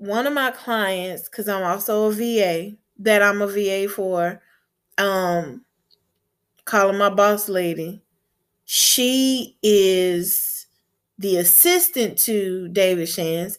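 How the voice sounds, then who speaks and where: At a very slow pace with long, frequent pauses, a woman speaks at medium pitch with ordinary pitch variation on a very clean recording with a silent background. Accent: Southern US. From US Gulf Coast. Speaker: podcast host and chef. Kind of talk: solo podcast monologue, motivational. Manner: warm, upbeat, encouraging.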